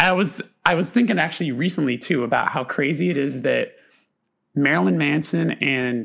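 Vocal fry runs through lively intonation delivered at a moderate pace. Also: man. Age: 30s. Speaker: podcast host. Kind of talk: casual chat.

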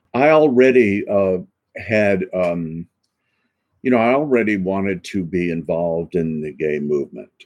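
At a fairly slow pace, a man with an American accent speaks in a very deep, low pitch with lively intonation. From US South, Macon, Georgia. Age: 70s. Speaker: author and activist, physician. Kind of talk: interview. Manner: halting.

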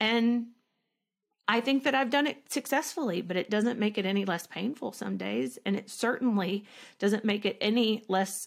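On a very clean recording with a silent background, a woman speaks with a Southern US accent at a fairly high pitch. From rural Arkansas, US South. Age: 30s. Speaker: actress, school shooting survivor. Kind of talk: interview testimony.

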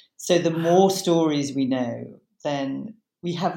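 With a British accent, a woman speaks at a very slow pace in a fairly low pitch, her dark, mellow tone showing ordinary pitch variation. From Britain. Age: 60s. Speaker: psychotherapist and author. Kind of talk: interview conversation.

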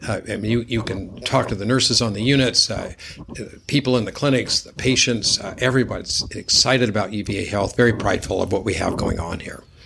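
Over noticeable background noise, a man at medium pitch talks at a very fast pace with fairly even intonation and big swings in loudness. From Nevada. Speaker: hospital system executive and vascular surgeon. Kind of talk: interview. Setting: in person, same room. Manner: halting with frequent repeats.

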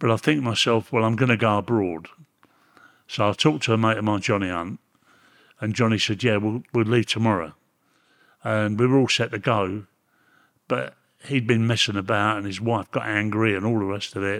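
On a very clean recording with a silent background, a man with a Cockney accent speaks with fairly even intonation and long, frequent pauses. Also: fairly low pitch for a man, fairly quick pace. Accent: London Cockney. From London, England. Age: 80s+. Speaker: former prisoner. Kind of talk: interview.

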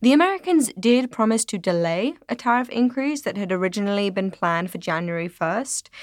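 In an ordinary speaking voice, a woman of medium pitch talks at a fairly quick pace with lively intonation and hardly any pauses, on a very clean recording with a silent background. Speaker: podcast co-host and journalist. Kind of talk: podcast discussion and explanation.

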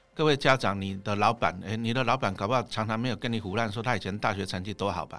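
A man with a fairly low pitch and a bright, sharp tone talks at a very fast pace with hardly any pauses and ordinary pitch variation. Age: 50s. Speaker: investment author and former teacher. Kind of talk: podcast interview.

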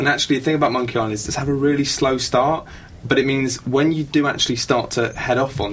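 A man with a medium-pitched voice talks very fast while noticeable noise is heard in the background. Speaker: panelist discussing games. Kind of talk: casual group chat. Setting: radio studio.

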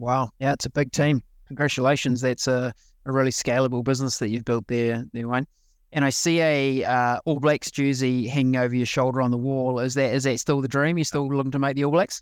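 A man's medium-pitched voice in a New Zealand accent, fairly quick in pace, with monotone, flat intonation and very even loudness, in a very clean recording with a silent background. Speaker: podcast host. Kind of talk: interview.

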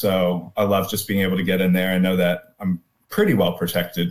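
A man speaks at a moderate pace in an ordinary speaking voice, his pitch fairly low. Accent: American. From US South, North Carolina (Durham). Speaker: backpacker and theologian. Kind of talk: casual chat.

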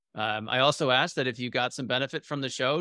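A man speaks with a bright, sharp tone at medium pitch and fairly even intonation. The recording is very clean, dry and close with no echo, over a silent background. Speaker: podcast host. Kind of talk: scripted intro then casual interview.

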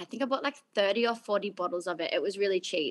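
A woman speaks at a medium pitch. Her tone is bright and sharp, with a quiet background. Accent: Australian. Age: 20s. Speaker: fragrance company founder. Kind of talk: interview. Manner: casual, laughs often.

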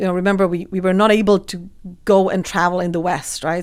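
Flat, monotone delivery from a woman with a Czech accent at a fairly quick pace. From Czech Republic, rural village. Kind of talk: interview.

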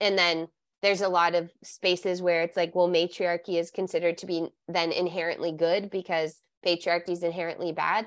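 With an American accent, a woman talks at a fairly quick pace, her fairly low pitch held in monotone, flat intonation. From California. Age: 40s. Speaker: somatic sex educator and author. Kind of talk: interview conversation.

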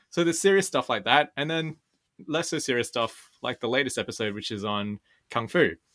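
This man talks at a fairly quick pace. His pitch variation is ordinary. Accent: Australian. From Sydney, Australia. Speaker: podcaster. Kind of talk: interview.

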